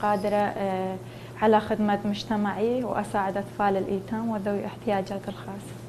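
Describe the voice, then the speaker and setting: Over noticeable background noise and audible room echo, a woman at a medium pitch speaks at a moderate pace with hardly any pauses and a monotone, flat intonation. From northern Iraq, Sinjar (Nineveh). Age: 20s. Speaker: beauty contest contestant, humanitarian worker. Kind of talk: interview. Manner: halting, many fillers.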